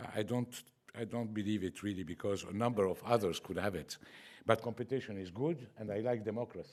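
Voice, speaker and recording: A man speaks at a fairly quick pace with a fairly low pitch, in an Arabic accent. The recording is very clean, with a silent background. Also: ordinary pitch variation. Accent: self-described bad Arabic accent in English. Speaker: award winner. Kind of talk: acceptance speech.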